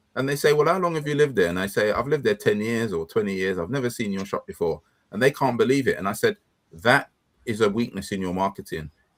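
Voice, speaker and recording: Speaking at a very fast pace with an London accent, a man uses lively intonation at a medium pitch. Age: 60s. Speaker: business consultant. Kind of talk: casual chat.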